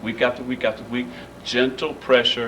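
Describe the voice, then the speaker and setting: A man talks at a medium pitch. Audible room echo and noticeable background noise are present. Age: 50s. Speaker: pastor speaking at community meeting. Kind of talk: community meeting remarks. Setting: church meeting room.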